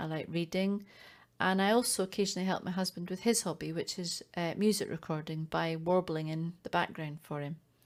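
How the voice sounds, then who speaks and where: Recorded very cleanly over a silent background, a woman with a fairly low voice speaks at a fairly quick pace with fairly even intonation. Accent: Scottish. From Scotland. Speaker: primary school teacher, volunteer news reader. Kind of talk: recorded self-introduction.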